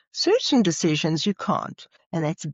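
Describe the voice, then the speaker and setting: This woman has a fairly low pitch and lively intonation, talking at a fairly slow pace. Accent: South African. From South Africa. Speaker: psychologist and leadership trainer. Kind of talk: podcast interview.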